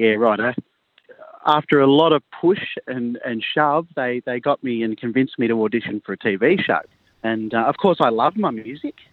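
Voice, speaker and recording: The speaker uses an Australian accent at a moderate pace. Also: man, medium pitch for a man, ordinary pitch variation. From rural New South Wales, Australia. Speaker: country singer-songwriter. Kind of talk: radio interview.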